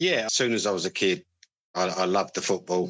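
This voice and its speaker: In a London accent, a man speaks at a very deep, low pitch with a bright, sharp tone. The sound is dry and close, with no echo. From London, Harrow. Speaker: retired footballer. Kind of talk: interview.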